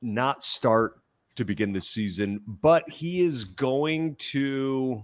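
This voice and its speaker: Over a silent background in a very clean recording, a man talks at a medium pitch with lively intonation. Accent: American. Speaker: sports podcaster. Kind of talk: podcast discussion.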